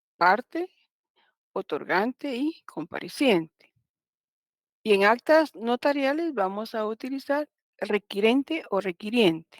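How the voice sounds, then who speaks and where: Very slow speech with long, frequent pauses and very wide pitch swings, in a dry, close sound with no echo and a very clean recording with a silent background. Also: woman, fairly high pitch for a woman. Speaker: law professor. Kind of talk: lecture.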